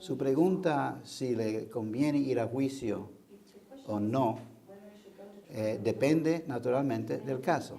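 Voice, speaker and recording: Speaking very slowly with long, frequent pauses, a man with an English accent uses medium pitch and ordinary pitch variation amid audible room echo and noticeable background noise. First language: English (speaking Spanish). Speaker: defense lawyer. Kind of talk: interview. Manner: halting.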